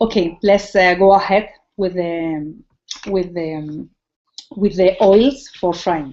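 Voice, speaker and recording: In a Spanish accent, a woman speaks at a very slow pace with long, frequent pauses. Her medium-pitched voice has a dark, mellow tone and ordinary pitch variation. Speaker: cooking teacher. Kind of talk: tutorial. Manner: halting.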